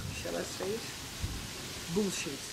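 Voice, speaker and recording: A woman talks at a medium pitch with ordinary pitch variation. Audible room echo and noticeable background noise surround her voice. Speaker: horse trainer. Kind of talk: informal instructional talk. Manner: halting, searching for words.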